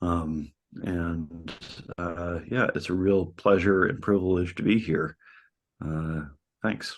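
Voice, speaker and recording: A man with an American accent speaks at a very slow pace, his pitch very deep and low with ordinary variation. Long, frequent pauses break up his speech over a quiet background. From United States. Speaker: community organizer. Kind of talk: panel introduction.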